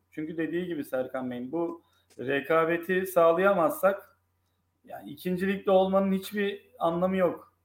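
A man speaks at a moderate pace with a high pitch and ordinary pitch variation. His loudness swings widely from moment to moment. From Turkey, grew up in various cities. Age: 30s. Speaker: football fan and sports commentator. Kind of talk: casual chat.

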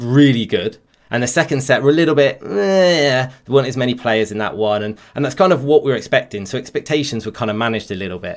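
A man's medium-pitched voice with a West Country accent and lively intonation, in a very clean recording with a silent background. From West Country, England. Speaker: video game streamer. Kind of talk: casual chat.

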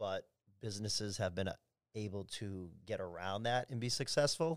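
Over a very clean recording with a silent background, a man talks at a moderate pace. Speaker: nightclub general manager. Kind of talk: casual chat. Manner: loud.

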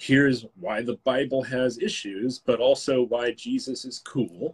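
With an unremarkable speaking voice, a man speaks at a medium pitch and a fairly slow pace, with ordinary pitch variation and a dry, close sound with no echo. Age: 30s. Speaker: author and filmmaker. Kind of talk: casual chat. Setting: live stream.

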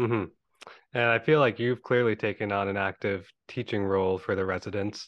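A man of fairly low pitch speaks at a fairly quick pace in a normal speaking voice. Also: fairly even intonation. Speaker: podcast host, anesthesiology resident. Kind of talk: casual interview.

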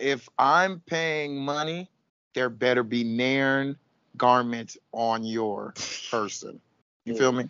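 A man at a medium pitch with ordinary pitch variation, a very slow pace and long, frequent pauses. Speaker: podcast co-host. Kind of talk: casual banter, reality TV recap. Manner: animated, laughing.

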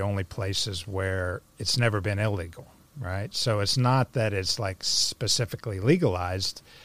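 A man with an American accent speaks at a moderate pace with hardly any pauses, his fairly low pitch showing ordinary variation in a normal speaking voice, on a very clean recording with a silent background.

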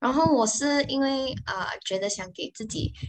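Ordinary pitch variation in a woman's voice. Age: 20s. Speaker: social media manager. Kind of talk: interview. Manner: halting.

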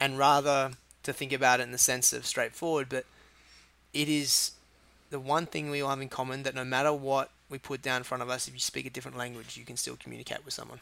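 In an Australian accent, a man speaks very fast at a medium pitch. His tone is bright and sharp, his intonation monotone and flat. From Australia, Sydney Northern Beaches. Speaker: chef and restaurant owner. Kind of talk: casual interview.

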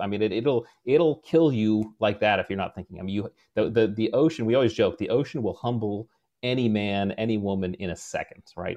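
A man speaks at a moderate pace in an ordinary speaking voice. His pitch is fairly low and varies in an ordinary way. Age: 40s. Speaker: former special forces officer and leadership author. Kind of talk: interview.

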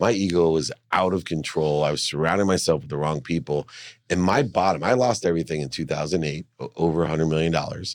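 The speaker goes at a very fast pace with ordinary pitch variation, on a very clean recording with a silent background. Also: man, very deep, low pitch for a man. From San Diego, California (moved from Ohio as a child). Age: 50s. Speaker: entrepreneur and motivational speaker. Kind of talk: interview conversation. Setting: studio.

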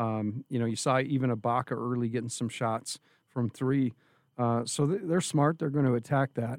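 In a plain, everyday voice, a man talks at a moderate pace and medium pitch, recorded with a dry, close sound and no echo. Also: ordinary pitch variation. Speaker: radio sports analyst. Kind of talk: casual sports analysis chat.

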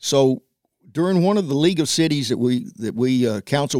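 Over a silent background in a very clean recording, a man with a Tennessee accent speaks with ordinary pitch variation. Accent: Southern US (Tennessee). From US South, Nashville, Tennessee. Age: 70s. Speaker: former city council member. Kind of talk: casual interview. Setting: studio.

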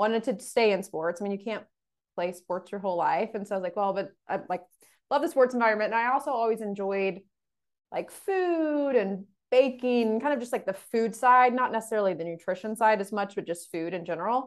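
A woman speaks with an American accent at a fairly high pitch, with ordinary pitch variation. It is an ordinary speaking voice over a quiet background. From Texas, Dallas area. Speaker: sports dietitian. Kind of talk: interview.

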